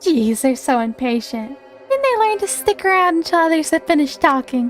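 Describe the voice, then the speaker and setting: A woman speaks in a put-on character voice with a high pitch at a fairly quick pace. Clear music plays in the background. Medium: virtual streamer. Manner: playful, smug, feigning innocence.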